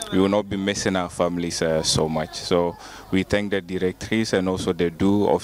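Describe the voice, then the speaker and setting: A man's very deep, low voice in a monotone, flat intonation at a fairly slow pace. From Ghana. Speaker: international medical student. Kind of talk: interview. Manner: hesitant, many fillers.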